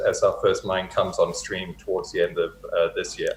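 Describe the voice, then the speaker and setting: A man with an American accent talks at a fairly quick pace over noticeable background noise. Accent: English accent with a North American lilt. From England, Hertfordshire. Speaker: mining company president. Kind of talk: interview.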